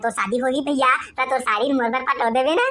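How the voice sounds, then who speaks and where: A woman does a cartoonish character voice, high-pitched and at a fairly quick pace. Her intonation stays fairly even and her loudness very even. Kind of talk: comic village banter. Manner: eager, boastful.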